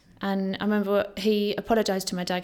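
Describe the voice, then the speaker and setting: Noticeable background noise behind a medium-pitched female voice. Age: 30s.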